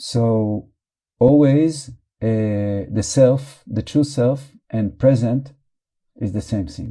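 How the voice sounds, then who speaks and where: A man with a non-native accent speaks at a very slow pace, leaving long, frequent pauses, his pitch medium and his pitch variation ordinary. His tone is dark and mellow, and the recording is very clean with a silent background. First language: not English. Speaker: meditation teacher. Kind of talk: guided meditation.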